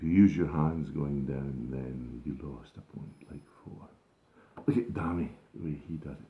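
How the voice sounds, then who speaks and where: In a very deep, low voice, a man speaks at a moderate pace and sounds somewhat breathy. His loudness swings widely, and his pitch varies in an ordinary way. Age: 70s. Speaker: gardening vlogger. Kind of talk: casual vlog talk to camera. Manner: halting, many fillers.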